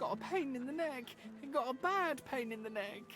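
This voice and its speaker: A put-on character voice is delivered at a high pitch in a Cockney accent. Clear music can be heard in the background. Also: moderate pace. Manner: pained, complaining.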